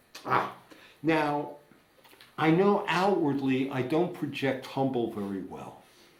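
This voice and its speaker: A loud man with an American accent, fairly high in pitch, at a very slow pace with lively intonation and audible room echo. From United States. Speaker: recovering alcoholic sharing at a meeting. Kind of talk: recovery meeting share. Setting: meeting room with audience.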